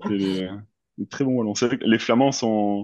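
In a dry, close recording with no echo, a man with a dark, mellow tone and fairly low pitch talks at a fairly slow pace, his pitch varying in an ordinary way. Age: 30s. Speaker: amateur triathlete. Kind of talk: interview.

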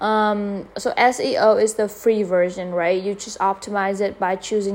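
A woman speaks in a Vietnamese accent. Her intonation stays fairly even. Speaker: podcaster. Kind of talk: casual monologue. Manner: halting.

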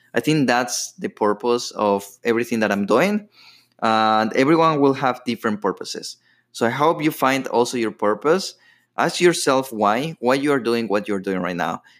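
With a Latin American accent, a man speaks at a moderate pace, his pitch medium and intonation lively. The recording is very clean, with a silent background. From Ecuador. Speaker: podcast host. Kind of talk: personal storytelling monologue. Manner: casual, with filler words.

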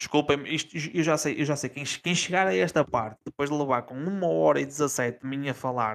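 A man with a European Portuguese accent talks at a moderate pace in a fairly high pitch. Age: 30s. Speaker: gaming podcast co-host. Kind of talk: casual chat.

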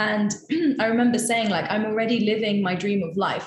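Somewhat breathy, the voice moves at a fairly quick pace with fairly even intonation and audible room echo. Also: woman. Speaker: coaching student. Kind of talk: casual interview. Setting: call.

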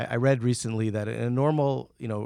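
Over a silent background in a very clean recording, a man with an unremarkable speaking voice talks at a medium pitch with ordinary pitch variation. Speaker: podcast host. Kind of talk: interview conversation.

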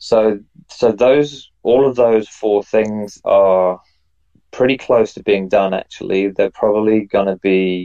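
A dark, mellow tone with an English accent, fairly even intonation and a fairly slow pace, in a dry, close sound with no echo. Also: man. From England. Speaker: NFT project founder and artist. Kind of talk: interview.

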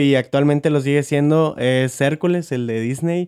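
A man with fairly even intonation. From Monterrey, Mexico. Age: 20s. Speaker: podcast co-host, graphic designer. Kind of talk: casual chat.

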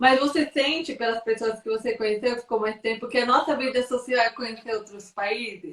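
A woman's fairly high-pitched voice, a normal speaking voice. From São Paulo, Brazil. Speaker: content creator and live-stream host. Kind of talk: live video interview.

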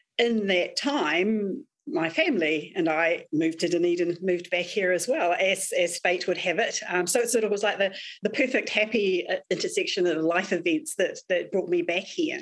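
A woman talks with a New Zealand accent. Her pace is moderate. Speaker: crime novelist. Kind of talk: panel interview.

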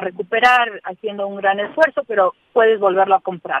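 Her voice, a woman's, sits at a medium pitch. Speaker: thanatologist. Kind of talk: interview. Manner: calm; halting.

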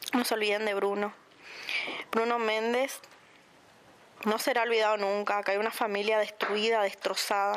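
A woman's fairly high voice at a moderate pace, flat and monotone. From Puerto Iguazú, Misiones, Argentina. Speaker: victim's relative. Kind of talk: testimony. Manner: halting.

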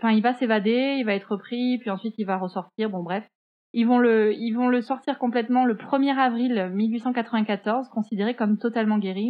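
A woman with an unremarkable speaking voice, fairly high pitch, fairly even intonation, and a moderate pace. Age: 20s. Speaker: podcast co-host, graphic designer. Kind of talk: true-crime storytelling in casual chat. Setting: remote recording.

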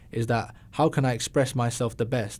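In a very clean recording with a silent background, a man with an English accent speaks at a moderate pace, his medium-pitched voice dark and mellow in tone. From London, England. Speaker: musician. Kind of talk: casual chat. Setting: studio.

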